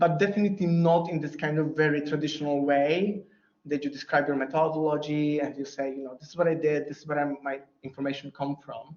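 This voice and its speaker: This man has a fairly high pitch. He speaks with a Polish accent. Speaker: academic researcher. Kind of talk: Q&A after lecture. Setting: lecture room with online audience. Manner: halting.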